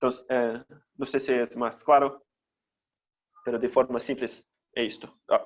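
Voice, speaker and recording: A man at medium pitch with a Brazilian accent, fairly slow and monotone, with long, frequent pauses. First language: Portuguese (speaking Spanish). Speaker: teacher. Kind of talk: lecture. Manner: halting.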